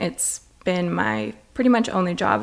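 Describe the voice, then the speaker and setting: A woman with an American accent speaks at a fairly low pitch with vocal fry. Her pitch swings very widely. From Las Vegas, Nevada. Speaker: donut shop owner. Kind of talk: casual interview chat.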